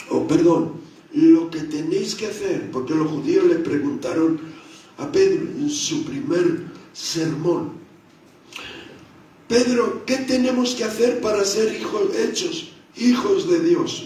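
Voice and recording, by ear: Strong room echo surrounds a man with a dark, mellow tone and high pitch. He speaks slowly with lively intonation.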